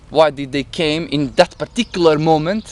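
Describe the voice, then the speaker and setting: Fairly slow speech from a man with a non-native accent. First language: not English. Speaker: vlogger recounting psychedelic experience. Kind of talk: personal monologue, storytelling. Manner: halting, with self-corrections.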